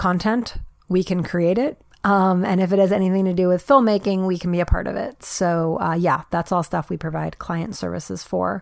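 This is an unremarkable speaking voice, with ordinary pitch variation at a moderate pace. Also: woman. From New York. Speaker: podcast host and independent filmmaker. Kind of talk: casual solo monologue.

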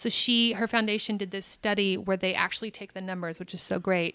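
A woman with a General American accent has a plain, everyday voice, medium in pitch and fairly even in intonation, recorded with a dry, close sound and no echo. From US Southwest (Albuquerque, New Mexico). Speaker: actor and podcaster. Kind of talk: casual interview chat.

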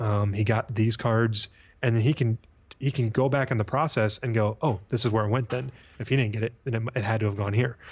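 A man with an American accent talks at a fairly quick pace. His voice is somewhat breathy, with fairly even intonation. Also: medium pitch for a man. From US Midwest, St. Louis, Missouri. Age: 30s. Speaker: sports card business owner. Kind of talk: casual interview.

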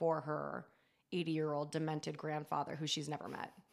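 A woman speaks with an American accent in a very deep, low pitch. The recording is very clean, with a silent background. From California coast, near San Francisco. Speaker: horror writer and comedian. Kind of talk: casual chat.

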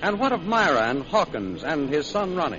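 A man is speaking in a high pitch. Noticeable background noise can be heard. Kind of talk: old-time radio announcer narration. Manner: formal, crisp, steady, dramatic recap.

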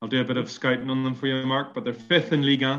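Monotone, flat intonation marks this man's medium-pitched voice. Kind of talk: casual chat.

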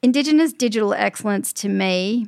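This woman has an Australian accent. The recording is very clean and the background is silent. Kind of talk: interview.

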